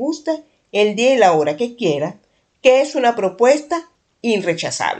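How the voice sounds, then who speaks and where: A woman's voice with very wide swings in pitch. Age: 50s. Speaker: podcast host. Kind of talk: solo podcast monologue.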